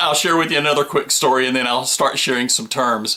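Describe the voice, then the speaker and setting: Amid noticeable background noise, a man with an American accent speaks at a medium pitch. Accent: Southern US, moderate (reduced from heavy). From US South, Georgia. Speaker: RV vlogger. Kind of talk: casual tutorial. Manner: folksy, conversational.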